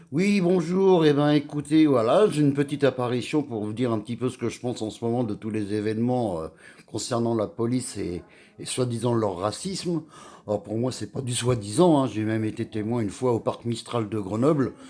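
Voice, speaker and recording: The speaker's intonation is lively and the pace is moderate. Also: man, medium pitch for a man. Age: 60s. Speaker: vlogger. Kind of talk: personal rant to camera. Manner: halting, with many hesitations.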